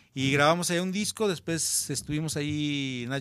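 On a very clean recording with a silent background, a man talks in a normal speaking voice with ordinary pitch variation. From Mexico, Guadalajara, Jalisco. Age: 50s. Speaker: rock musician. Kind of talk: casual chat.

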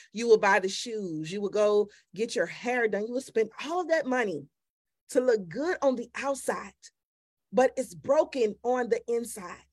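In an ordinary speaking voice, a woman talks at a moderate pace with lively intonation. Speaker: podcast host and women's ministry leader. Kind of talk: casual interview chat. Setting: podcast recording.

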